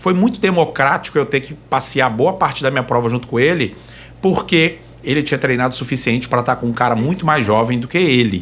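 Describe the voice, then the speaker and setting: A man's normal speaking voice, medium in pitch, with lively intonation and a fairly quick pace. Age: young. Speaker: trail runner. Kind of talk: casual chat.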